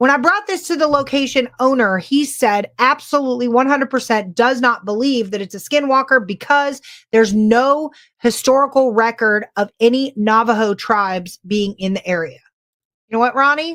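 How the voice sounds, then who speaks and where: A woman's high voice with a Californian accent, ordinary pitch variation and a moderate pace, in a very clean recording with a silent background. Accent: California. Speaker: paranormal podcast co-host. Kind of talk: casual chat. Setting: live stream.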